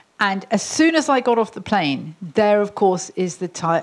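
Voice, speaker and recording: A woman speaks at a fairly slow pace, her pitch swinging very widely. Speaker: internet governance executive, panelist. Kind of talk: panel discussion.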